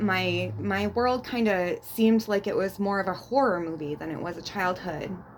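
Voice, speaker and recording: A woman speaks in a plain, everyday voice at a medium pitch. Her pace is fairly slow. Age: 40s. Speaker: abuse survivor sharing her story. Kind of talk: interview testimony.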